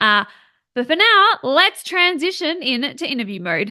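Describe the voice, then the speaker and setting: A woman's raised, projected, high voice with a bright, sharp tone, very wide pitch swings, a fairly slow pace, and an Australian accent. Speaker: podcast host. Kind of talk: podcast interview.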